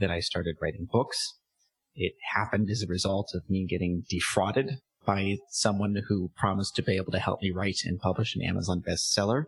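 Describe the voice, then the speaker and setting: A somewhat breathy man with a Californian accent, fairly low pitch, fairly even intonation and a fairly quick pace, in a dry, close sound with no echo. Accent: Californian American. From California, San Diego. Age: 30s. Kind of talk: interview.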